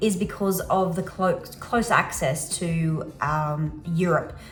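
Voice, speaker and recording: A medium-pitched woman's voice with an Australian accent and audible room echo. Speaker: travel vlogger and remote worker. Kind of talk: casual vlog talk to camera.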